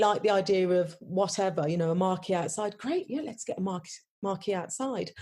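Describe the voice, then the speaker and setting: The tone is dark and mellow. There is a somewhat breathy quality to it. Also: woman. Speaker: wedding venue owner. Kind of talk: podcast interview. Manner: many fillers and restarts.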